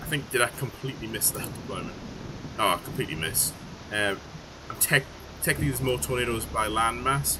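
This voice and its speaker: Someone with a Geordie accent talks very fast, their pitch swinging very widely. Long, frequent pauses break up the speech over noticeable background noise. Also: man, medium pitch for a man. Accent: Geordie, sometimes mistaken for Scottish. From northern England, Newcastle. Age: 30s. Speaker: game developer streamer. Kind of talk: live stream chat while playtesting. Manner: casual, hesitant with fillers.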